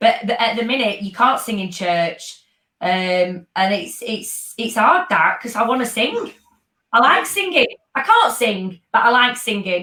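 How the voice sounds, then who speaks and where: A woman's bright, sharp voice in a Yorkshire accent, fairly high in pitch and fairly slow in pace. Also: lively intonation. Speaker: dance fitness instructor. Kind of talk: casual chat.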